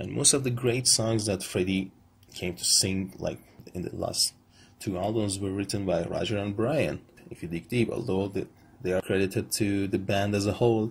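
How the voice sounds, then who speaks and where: Speaking at a moderate pace with an Iranian accent, a man with a fairly low pitch sounds somewhat breathy and shows ordinary pitch variation. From Iran, Tehran. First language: Persian. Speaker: vlogger, film commentator. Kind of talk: monologue rant / video essay. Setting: selfie video recording. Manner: halting.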